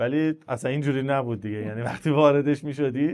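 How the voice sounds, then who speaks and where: Delivered at a very fast pace, the speech carries an Isfahani accent and ordinary pitch variation. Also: man. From Iran, Isfahan. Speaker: entrepreneur in supplements and pharma distribution. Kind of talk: podcast interview. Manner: casual, conversational storytelling.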